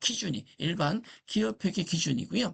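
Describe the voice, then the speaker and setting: With very wide swings in pitch, a man talks at a moderate speed. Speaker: accounting lecturer. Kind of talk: lecture.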